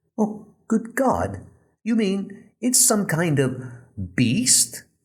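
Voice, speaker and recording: In a put-on character voice, a man speaks at a very slow pace in a high pitch, with very wide pitch swings and very even loudness. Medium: audio drama. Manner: excitable, blustering.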